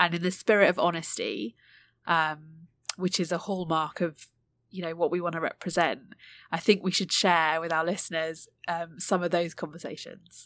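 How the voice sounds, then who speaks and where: A woman with a British accent speaks at a fairly low pitch. Her pace is moderate and her intonation fairly even. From UK. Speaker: podcast co-host, executive coach. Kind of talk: casual chat. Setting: remote recording. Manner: hesitant, many filler ums.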